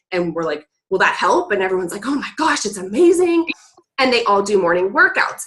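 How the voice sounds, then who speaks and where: With a bright, sharp tone, a woman talks at a fairly quick pace and ordinary pitch variation. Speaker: network marketing coach. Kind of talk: team training call. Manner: fast.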